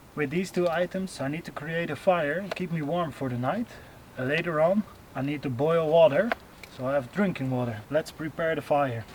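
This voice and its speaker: With noticeable background noise behind him, a man speaks at a moderate pace. His pitch is fairly high, with ordinary variation. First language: not English. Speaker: outdoor survival vlogger. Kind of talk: vlog narration. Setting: outdoors. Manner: halting.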